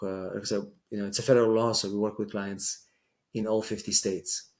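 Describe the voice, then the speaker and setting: A man with an Israeli accent, in a flat monotone. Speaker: immigration lawyer. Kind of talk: interview. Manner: hesitant, many fillers.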